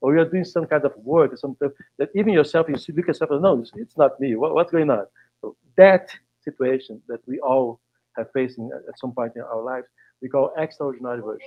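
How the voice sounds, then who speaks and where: A man with a fairly high pitch speaks very fast with a Brazilian Portuguese accent, his loudness swinging widely while his pitch varies in an ordinary way. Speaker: facilitator. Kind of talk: panel discussion. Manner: halting.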